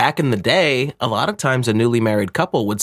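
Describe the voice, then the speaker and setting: A man talks at a fairly quick pace in an ordinary speaking voice with ordinary pitch variation. The sound is dry and close with no echo. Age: 40s. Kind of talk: casual chat.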